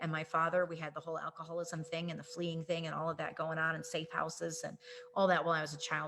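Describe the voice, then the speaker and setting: A fairly low-pitched woman talking at a very fast pace over noticeable background noise. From US Midwest, suburban Chicago. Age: 40s. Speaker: network marketing leader, trainer. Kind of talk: personal testimony in a training presentation. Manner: casual with many fillers.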